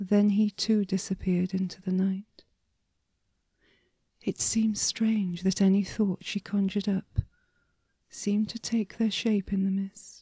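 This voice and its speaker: At a fairly slow pace with long, frequent pauses, a woman speaks in a medium pitch with a dark, mellow, somewhat breathy tone and monotone, flat intonation, the sound dry and close with no echo. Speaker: story writer and reader. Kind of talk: sleep story. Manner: soft-spoken, whispering.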